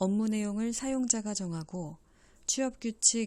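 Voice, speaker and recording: In a very clean recording with a silent background, a woman talks at a very slow pace in a dark, mellow, somewhat breathy tone. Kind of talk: legal text read-aloud.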